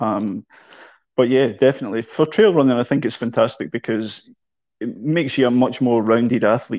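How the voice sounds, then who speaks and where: A man speaks in a Glasgow accent at a moderate pace. His pitch variation is ordinary, and the background is quiet. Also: medium pitch for a man. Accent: Scottish, Glasgow. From Scotland. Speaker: running coach. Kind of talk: casual interview.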